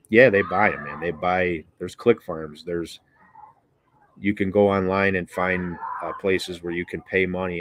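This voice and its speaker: Very deep and low, this man's voice carries an American accent. He keeps a moderate pace with monotone, flat intonation. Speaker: BBQ and cooking YouTuber. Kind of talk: casual livestream chat. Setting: outdoors on porch, livestream.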